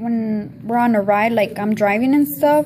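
Over faint background noise, a woman speaks at a fairly high pitch and fairly slow pace, her tone slightly mellow and her intonation fairly even.

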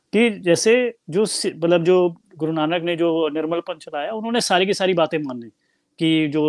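In a dry recording with no echo and a quiet background, a man speaks at a fairly slow pace and a fairly high pitch, with ordinary pitch variation. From Punjab, India. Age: 30s. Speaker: Sikh commentator and author; Sikh commentator. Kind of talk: interview discussion; interview answer. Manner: animated. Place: home room. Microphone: earbuds.

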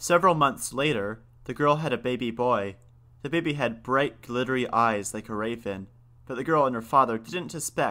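The reading voice heard here is unforced.

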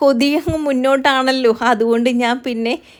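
Her high-pitched voice holds a fairly even intonation as this woman speaks. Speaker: family vlogger. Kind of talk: casual vlog narration.

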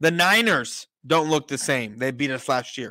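In an American accent, a man with a bright, sharp tone speaks at a moderate pace in a dry sound with no echo against a quiet background. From San Antonio, Texas. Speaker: sports podcast host. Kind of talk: casual chat. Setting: remote call from home kitchen. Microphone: studio mic.

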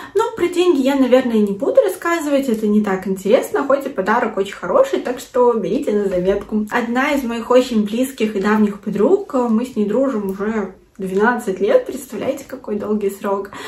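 Lively intonation and an animated tone at a moderate pace, with audible room echo. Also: woman, fairly high pitch for a woman. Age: 20s. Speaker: video blogger. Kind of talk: vlog. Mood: cheerful, pleased. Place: home room.

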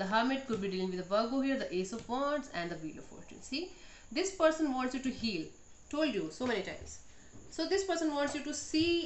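A woman's high voice at a fairly quick pace, with audible room echo and light background noise. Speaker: tarot reader. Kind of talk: tarot reading monologue. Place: home room. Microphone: phone near.

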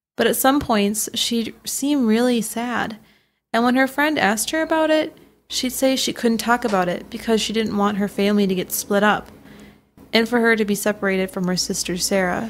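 This woman has an ordinary speaking voice, fairly high in pitch, moving at a moderate pace with ordinary pitch variation. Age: 20s. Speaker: true crime podcast co-host. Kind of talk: scripted narration.

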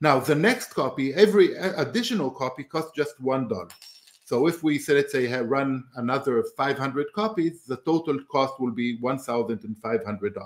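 Over noticeable background noise, a man speaks at a fairly slow pace with a fairly high pitch. His intonation is lively. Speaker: computer science professor and researcher. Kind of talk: technical interview.

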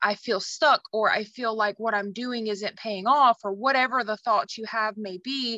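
The tone is bright and sharp, the pace fairly slow, and the sound dry with no echo against a quiet background. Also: woman. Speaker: team leader hosting weekly calls. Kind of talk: casual intro and wrap-up. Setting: video call. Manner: enthusiastic. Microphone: video call.

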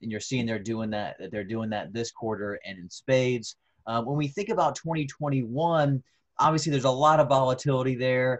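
With a Southern US accent, a man talks at a moderate pace in a medium pitch with ordinary pitch variation and big swings in loudness against a quiet background. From North Carolina. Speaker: agricultural economist; panelist. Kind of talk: webinar presentation. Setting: video call. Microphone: video call.

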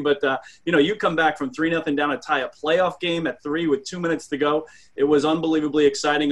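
This man talks at a very fast pace. His intonation stays fairly even. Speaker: radio play-by-play announcer. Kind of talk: interview answer. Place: home room. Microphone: video call.

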